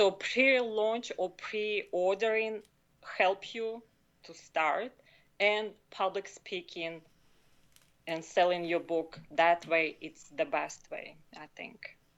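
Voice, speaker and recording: A woman with a non-native accent speaks at a very slow pace and medium pitch, with ordinary pitch variation, long, frequent pauses and big swings in loudness. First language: not English. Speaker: author and health consultant. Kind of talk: podcast interview. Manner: halting.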